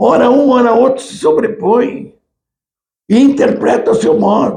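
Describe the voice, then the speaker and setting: At a fairly slow pace, a man with an extremely high pitch and a dark, mellow tone speaks with ordinary pitch variation and big swings in loudness. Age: 80s+. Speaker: history professor, retired military. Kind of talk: lecture. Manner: halting.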